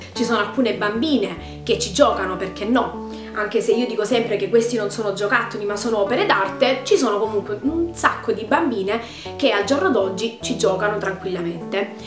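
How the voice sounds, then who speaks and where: A woman talks at a fairly quick pace with ordinary pitch variation while clear music plays in the background. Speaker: doll collector vlogger. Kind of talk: casual vlog chat. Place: home room.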